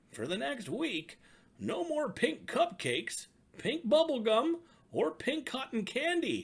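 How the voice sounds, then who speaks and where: A man does a put-on character voice at an extremely high pitch, swinging very widely in pitch at a fairly slow pace. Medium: read story. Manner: formal, measured.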